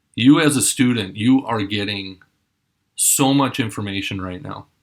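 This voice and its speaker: A man's plain, everyday voice with an American accent, medium pitch, ordinary pitch variation, a moderate pace and big swings in loudness. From Minnesota. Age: 40s. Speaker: mayoral candidate. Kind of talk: campaign address to students.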